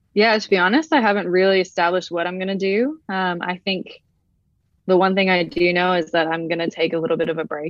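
Fairly quick and fairly low in pitch, a woman with an American accent keeps her intonation fairly even. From Brazil. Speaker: professional footballer. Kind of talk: casual interview.

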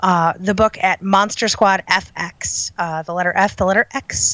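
With an American accent, a woman is talking. The recording is dry and close, without any echo. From Chicago, US Midwest. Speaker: horror writer and editor. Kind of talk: interview.

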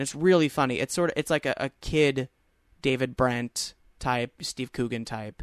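This is a plain, everyday voice: a man with an American accent, medium pitch and a moderate pace. The sound is dry and close with no echo, over a quiet background. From Long Island, New York. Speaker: actor and comedian. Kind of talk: casual chat.

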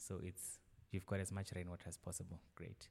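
Somewhat breathy, a man with a very deep, low pitch talks at a moderate pace with fairly even intonation. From South Africa, Venda (Limpopo). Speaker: social impact water entrepreneur. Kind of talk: casual interview.

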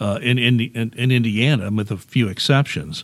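Medium pitch and a moderate pace from a man in a normal speaking voice, with ordinary pitch variation. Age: 60s. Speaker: local news blogger and podcast host. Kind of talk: interview. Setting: library AV studio.

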